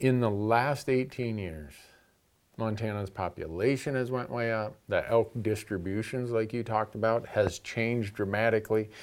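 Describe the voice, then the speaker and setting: At a moderate pace and medium pitch, a man uses a normal speaking voice with fairly even intonation on a very clean recording with a silent background. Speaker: hunting show host. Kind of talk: casual chat.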